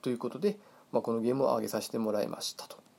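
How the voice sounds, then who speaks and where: The man's voice has a dark, mellow tone. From Hokkaido, Japan. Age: 40s. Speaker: podcast host. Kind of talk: casual monologue. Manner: halting, many fillers.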